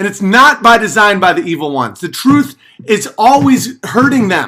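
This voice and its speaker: Using a raised, projected voice with a bright, sharp tone, a man talks at a fairly slow pace in a very clean recording with a silent background. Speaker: live streamer. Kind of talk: livestream rant. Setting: live stream. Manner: yelling.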